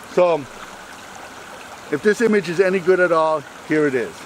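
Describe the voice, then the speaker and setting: A man talks at a moderate pace with a high pitch and ordinary pitch variation. Noticeable background noise sits behind him. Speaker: wildlife photographer. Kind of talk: outdoor vlog narration. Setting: outdoors in a forest by a brook.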